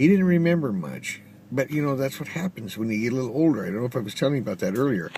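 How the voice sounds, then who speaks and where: Over noticeable background noise, a man with an American accent talks very fast at medium pitch with very wide pitch swings. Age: 60s. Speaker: vlogger. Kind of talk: casual video message. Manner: halting, many fillers.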